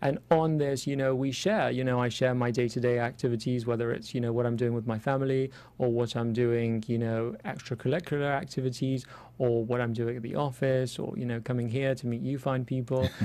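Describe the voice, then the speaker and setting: A man with an English accent, medium pitch, and a dark, mellow tone, speaking fairly quickly with fairly even intonation. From London, England. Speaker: cosmetic dentist. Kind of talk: interview. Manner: hesitant, many fillers.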